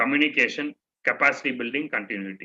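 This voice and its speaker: With an Indian accent, a man talks at a moderate pace in a fairly high pitch, his tone bright and sharp. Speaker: trainer. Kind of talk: orientation talk to students.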